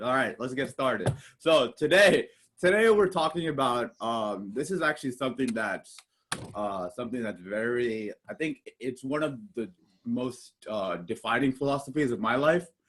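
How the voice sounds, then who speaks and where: The delivery is loud, with lively intonation. The pace is moderate. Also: man, medium pitch for a man. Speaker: podcast host. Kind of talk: casual chat. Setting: video call. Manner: halting.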